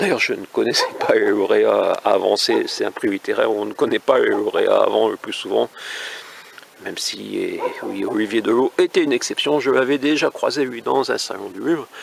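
This man's voice is fairly low, with vocal fry and a slightly husky edge. He talks at a fairly quick pace with fairly even intonation.

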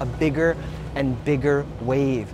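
Clear music plays in the background. Over it, a man speaks with an American accent. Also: dry sound with no echo. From Brooklyn, New York City; New York City. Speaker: motivational speaker. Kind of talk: keynote speech; motivational talk to camera. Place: beach. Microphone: lapel.

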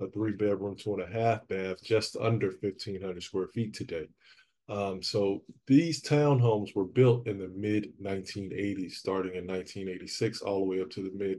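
A man with a dark, mellow tone and fairly low pitch speaks at a fairly slow pace. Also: ordinary pitch variation. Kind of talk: casual vlog chat. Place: empty room.

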